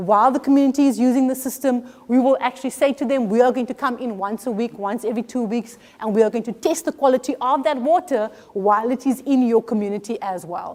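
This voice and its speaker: Very fast and high-pitched, a woman speaks with ordinary pitch variation. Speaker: professor. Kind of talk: lecture.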